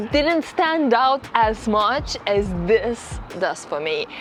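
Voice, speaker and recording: Over music in the background, a woman with a fairly high voice swings very widely in pitch. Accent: non-native. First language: not English. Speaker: motorcycle vlogger. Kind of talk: vlog review.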